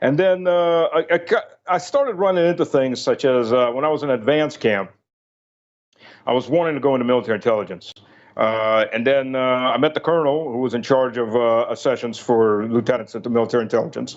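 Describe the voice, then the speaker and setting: A man speaks at a medium pitch with a slight Southern US accent, keeping his loudness very even and his pitch variation ordinary. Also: fairly quick pace. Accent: slight Southern US, otherwise none. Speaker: retired army officer. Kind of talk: interview. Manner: halting, many fillers.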